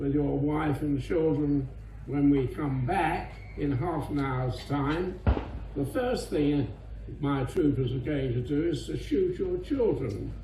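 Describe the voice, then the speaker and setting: A man talks at a very slow pace with noticeable background noise behind him. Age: 80s+. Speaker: war veteran. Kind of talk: speech to an audience.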